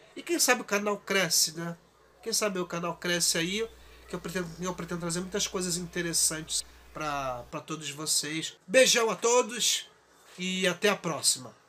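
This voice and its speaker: The man speaks in a high pitch with ordinary pitch variation. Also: moderate pace. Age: 40s. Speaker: YouTuber and podcaster, art student. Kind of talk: casual vlog monologue. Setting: home recording. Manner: halting, with repetitions.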